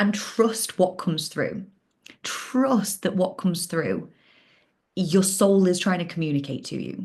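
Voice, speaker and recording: A woman speaks at a fairly slow pace, her voice somewhat breathy. Her intonation is lively. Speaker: life coach. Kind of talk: online workshop. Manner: casual.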